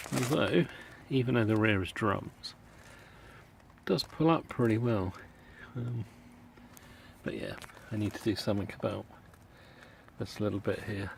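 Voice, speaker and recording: The delivery is at a moderate pace, with ordinary pitch variation and a British accent. Long pauses come often. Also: man, fairly low pitch for a man. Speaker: car enthusiast. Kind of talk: casual talk to camera. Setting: outdoors.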